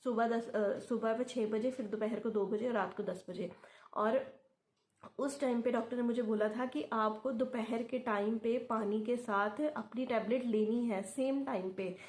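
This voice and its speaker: A quiet woman with a fairly high pitch. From Punjab, India. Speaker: YouTuber sharing IVF experience. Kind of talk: casual vlog talk. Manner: halting, with filler sounds; quiet, late at night.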